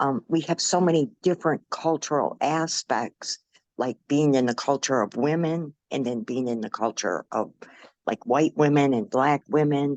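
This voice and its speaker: A woman talks at a moderate pace in a very deep, low pitch with ordinary variation. The sound is dry and close, with no echo. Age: 60s. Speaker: online dialogue participant. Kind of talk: casual discussion.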